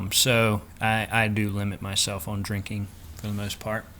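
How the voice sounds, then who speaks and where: A man's fairly low voice in a Southern US accent. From Florida, US South. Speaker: vlogger. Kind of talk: casual vlog update.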